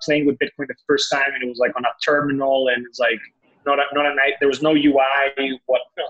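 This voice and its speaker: This man has a Spanish accent. His pitch is fairly high. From Mexico. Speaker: crypto exchange CEO. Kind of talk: interview. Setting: podcast recording. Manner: repetitive false starts.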